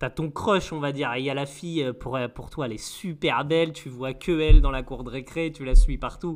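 A man with an ordinary speaking voice, fairly high in pitch, ordinary pitch variation, a moderate pace and big swings in loudness. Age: 30s. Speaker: podcast co-host. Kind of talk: casual chat.

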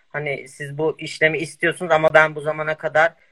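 With a bright, sharp tone and fairly high pitch, a man talks at a moderate pace, the sound dry and close with no echo. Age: 20s. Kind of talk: interview.

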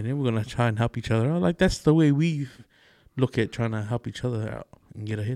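A man with a dark, mellow tone speaks very fast at a medium pitch with ordinary pitch variation. The recording is very clean with a silent background, and the sound is dry and close with no echo. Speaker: podcast co-host. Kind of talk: casual chat.

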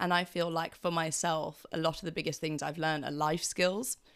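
In a very clean recording with a silent background, a woman uses a normal speaking voice, fairly low in pitch, at a moderate pace with fairly even intonation. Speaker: student podcast host. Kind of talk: casual interview chat.

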